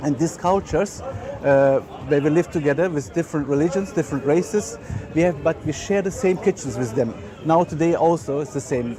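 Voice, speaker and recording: A man's fairly high-pitched voice at a fairly quick pace, with noticeable background noise. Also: ordinary pitch variation. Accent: German. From Germany. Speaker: chef and catering business owner. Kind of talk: guided tour talk. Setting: outdoor market. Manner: halting, many filler words.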